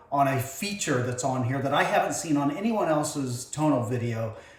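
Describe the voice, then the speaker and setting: A man speaks at a fairly quick pace in a fairly high voice. Noticeable background noise and audible room echo surround him. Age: 60s. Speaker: home fitness vlogger. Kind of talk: unboxing video. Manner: hesitant, many fillers.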